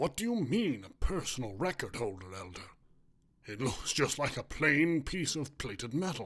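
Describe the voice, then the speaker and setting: In a very clean recording with a silent background, a put-on character voice speaks at a low-to-middle pitch. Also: moderate pace. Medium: read story. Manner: earnest, formal.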